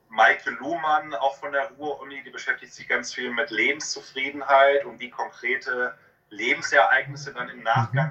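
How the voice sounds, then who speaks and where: A man with a normal speaking voice talks at a moderate pace with a fairly high pitch, ordinary pitch variation and big swings in loudness. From Westphalia, Germany (Hamm). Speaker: psychologist, author and university lecturer. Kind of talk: interview.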